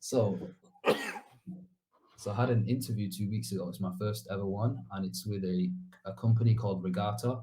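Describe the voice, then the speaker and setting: A man's fairly low, somewhat breathy voice in a Mancunian accent, with ordinary pitch variation and long, frequent pauses. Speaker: bootcamp graduate, junior developer. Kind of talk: interview. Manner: fast; casual, hesitant fillers.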